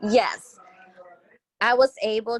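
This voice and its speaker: Speaking at a very slow pace with fairly even intonation, a woman is heard in a dry, close sound with no echo. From Houston, Texas. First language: Spanish. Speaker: interviewee. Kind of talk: interview.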